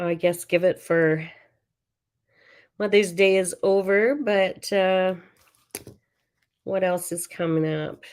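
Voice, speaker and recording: Mumbling at a very slow pace, a woman of medium pitch keeps fairly even intonation and leaves long, frequent pauses. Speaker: craft demonstrator. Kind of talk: live crafting tutorial. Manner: mumbling to herself; halting, many fillers.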